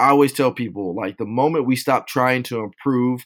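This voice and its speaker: Fairly quick talk from a man in an ordinary speaking voice, medium in pitch, with ordinary pitch variation. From Southern California (Rialto). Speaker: police officer and nonprofit founder. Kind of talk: interview.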